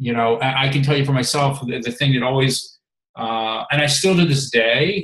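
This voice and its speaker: A man's fairly high-pitched, a plain, everyday voice at a moderate pace, with ordinary pitch variation. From Maryland, US. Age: 50s. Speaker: health and fitness coach, former reality show contestant. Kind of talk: casual chat.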